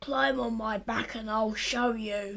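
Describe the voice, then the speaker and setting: The delivery is fairly slow. It comes in a put-on character voice. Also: woman, fairly high pitch for a woman. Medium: read story.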